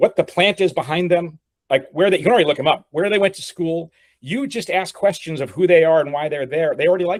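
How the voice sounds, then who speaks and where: The delivery is very fast and animated, with big swings in loudness and ordinary pitch variation. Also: man, high pitch for a man. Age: 60s. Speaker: board member advising a startup. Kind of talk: business meeting discussion.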